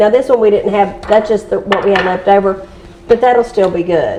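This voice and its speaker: A woman talks in a Southern Appalachian accent with ordinary pitch variation. Background noise is noticeable. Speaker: home canner and real estate agent. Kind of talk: casual cooking tutorial.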